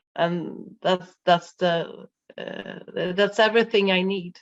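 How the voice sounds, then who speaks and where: At a very slow pace, a woman with a non-native accent speaks at a medium pitch with fairly even intonation. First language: Swedish. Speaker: life coach and birth worker. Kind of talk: interview. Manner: halting, many fillers.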